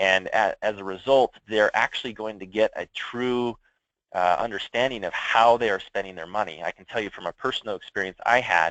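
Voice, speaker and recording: Recorded with a dry, close sound and no echo, a man speaks at a fairly quick pace in a fairly low pitch, his intonation fairly even and his loudness swinging widely. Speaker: software product presenter. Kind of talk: product demo on a conference call. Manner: fast.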